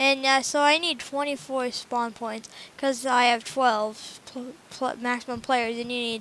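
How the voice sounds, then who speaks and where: A woman with a high pitch speaks at a fairly slow pace, keeping her intonation fairly even. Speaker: gaming youtuber. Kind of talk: tutorial. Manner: halting, self-correcting; casual.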